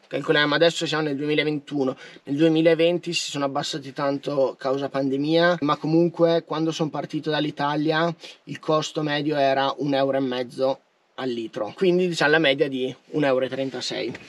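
With monotone, flat intonation, a man speaks at a fairly high pitch in a dry sound with no echo. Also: moderate pace. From Trentino, northern Italy. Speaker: van life vlogger. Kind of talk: casual vlog monologue. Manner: informal, chatty. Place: car.

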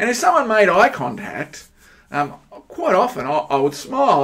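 With an Australian accent, a man speaks with very wide pitch swings over a quiet background. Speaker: pastor. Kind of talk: sermon. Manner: hesitant, with fillers.

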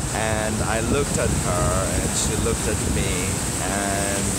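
A man's very slow speech, in a dry sound with no echo, against loud background noise. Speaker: travel vlogger. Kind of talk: casual vlog chat. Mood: reflective, personal story. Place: beach. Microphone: phone near.

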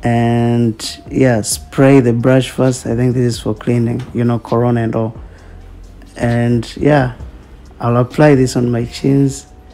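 Over music in the background, a man speaks at a medium pitch and fairly slow pace with fairly even intonation. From Tanzania. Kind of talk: humorous makeup tutorial voiceover. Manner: casual, unsure, joking.

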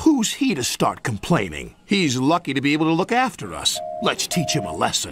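A man does a put-on character voice at a medium pitch with a fairly bright tone and a slightly husky edge. His pitch swings very widely at a moderate pace.

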